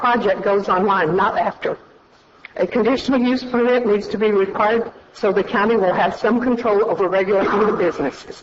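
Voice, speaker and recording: Speech comes at a fairly quick pace against noticeable background noise. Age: 70s. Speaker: retired construction contractor, public commenter. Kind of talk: public comment at county meeting. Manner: reading prepared statement.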